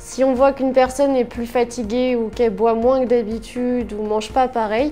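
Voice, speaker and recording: A woman speaks at a moderate pace in a high voice over noticeable background noise. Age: 20s. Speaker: care worker. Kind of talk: workplace testimonial interview. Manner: hesitant, with fillers.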